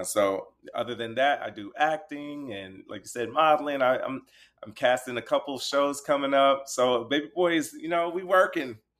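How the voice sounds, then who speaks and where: A man's medium-pitched voice with an American accent, at a moderate pace. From US West Coast (Inglewood, California). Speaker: TV personality and actor. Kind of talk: casual interview. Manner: energetic.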